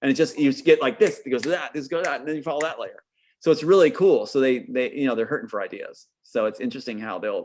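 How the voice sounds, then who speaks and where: Over quiet surroundings, a man talks at a very fast tempo. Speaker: filmmaker guest. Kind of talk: casual interview chat. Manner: animated.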